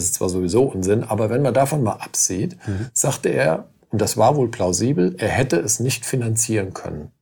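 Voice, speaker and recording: This somewhat breathy voice has a dark, mellow tone, ordinary pitch variation and a moderate pace. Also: man. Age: 50s. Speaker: lawyer. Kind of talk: interview. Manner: halting.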